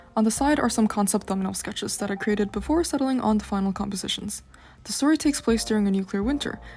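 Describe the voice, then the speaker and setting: A woman talks at a very fast pace while music plays in the background. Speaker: art student. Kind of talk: portfolio walkthrough narration. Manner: casual.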